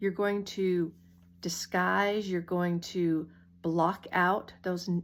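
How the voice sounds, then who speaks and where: A woman speaks in a medium pitch with an ordinary speaking voice and fairly even intonation. The recording is very clean, with a silent background. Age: 60s. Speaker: makeup artist. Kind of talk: tutorial.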